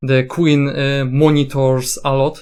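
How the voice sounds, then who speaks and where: A man speaks with a non-native accent. His voice is fairly high and his pace very slow. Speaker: gaming content creator. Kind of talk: commentary video. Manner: halting, many fillers and restarts.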